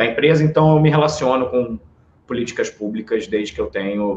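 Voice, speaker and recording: A man with a Rio de Janeiro accent at a fairly quick pace. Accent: carioca. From Brazil, Rio de Janeiro. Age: 30s. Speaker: political marketing strategist. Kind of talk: podcast interview.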